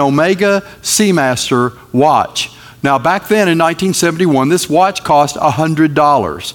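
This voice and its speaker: A man talks with lively intonation as noticeable background noise runs beneath him. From North Carolina. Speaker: guest preacher. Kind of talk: sermon. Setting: church.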